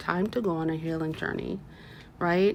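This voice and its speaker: A woman talks at a moderate pace while noticeable background noise carries on beneath her. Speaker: tarot reader. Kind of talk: tarot reading. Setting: at home, window open.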